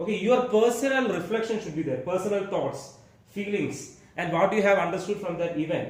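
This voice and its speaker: Audible room echo and noticeable background noise surround a man speaking in a high pitch with ordinary pitch variation. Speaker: school teacher. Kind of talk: exam-prep tutorial lecture. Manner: fast.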